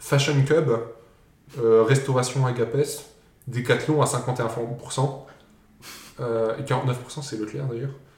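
A man talks at a very slow pace and medium pitch, somewhat breathy, with long, frequent pauses. Audible room echo surrounds his voice. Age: 20s. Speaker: podcast host running a quiz. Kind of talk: casual quiz chat.

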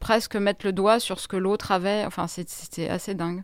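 A woman with a medium pitch and fairly even intonation in a very clean recording with a silent background. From Grenoble, France. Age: 40s. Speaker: journalist. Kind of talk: interview. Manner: halting.

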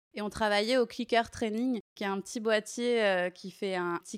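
In a very clean recording with a silent background, an ordinary speaking voice moves at a moderate pace with fairly even intonation and a dry, close sound with no echo. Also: woman. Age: 30s. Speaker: dog trainer and dog walker. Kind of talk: interview.

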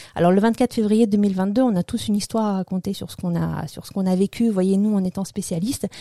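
A woman talks at a fairly quick pace in a medium pitch with a dark, mellow tone and fairly even intonation. The sound is dry and close with no echo, on a very clean recording with a silent background. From former Soviet Union. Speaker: political science lecturer. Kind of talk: interview. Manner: halting.

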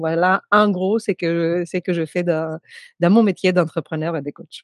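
A quiet background lies beneath speech delivered at a fairly slow pace. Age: 40s. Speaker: coach for women entrepreneurs. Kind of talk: casual interview chat.

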